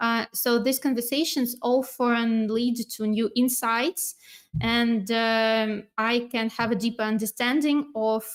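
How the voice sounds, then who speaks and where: At a fairly slow pace, a woman with a fairly high pitch talks in very even loudness and fairly even intonation. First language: not English. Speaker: inside sales manager at a software company. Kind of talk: webinar interview and presentation. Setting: online webinar.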